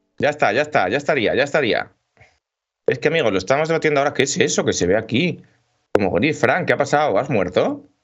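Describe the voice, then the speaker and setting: A man with vocal fry speaks very fast at a fairly high pitch. His intonation is lively and his loudness very even. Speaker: video game podcast host. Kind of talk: casual chat. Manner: animated.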